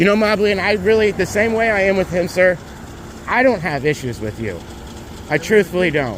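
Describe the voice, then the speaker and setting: Speaking at a fairly quick pace with long, frequent pauses, a man with a high pitch uses lively intonation over noticeable background noise. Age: 30s. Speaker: motorcyclist filming a police stop. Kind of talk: heated argument. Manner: loud.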